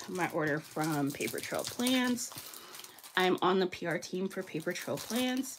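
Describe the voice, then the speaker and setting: A woman speaks in a fairly low pitch. Noticeable background noise runs underneath. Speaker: planner content creator. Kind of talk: casual haul narration. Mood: enthusiastic, warm.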